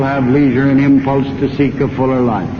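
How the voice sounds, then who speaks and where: An American accent against noticeable background noise. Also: man. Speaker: politician, former president giving a campaign speech. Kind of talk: political campaign speech. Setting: radio broadcast from a rally, 1932 recording, slowed by 12%.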